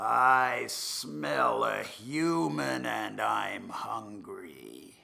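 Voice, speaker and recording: A man uses a put-on character voice, very deep and low in pitch. It sounds raspy and comes at a very slow pace. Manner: menacing, growling.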